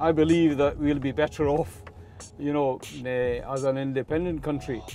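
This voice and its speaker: Over music in the background, the voice moves at a moderate pace with ordinary pitch variation. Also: man, fairly high pitch for a man. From Scotland (Glasgow), born in Kashmir. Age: 60s. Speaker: taxi driver. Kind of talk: interview. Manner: hesitant, many uh fillers.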